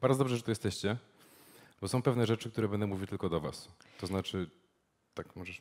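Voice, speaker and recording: A man talking at a very fast pace, ordinary pitch variation, quiet background. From Poland, Poznań; Poland. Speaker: journalist and media startup founder; journalist. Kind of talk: presentation with live interpretation. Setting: stage with audience. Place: meeting room.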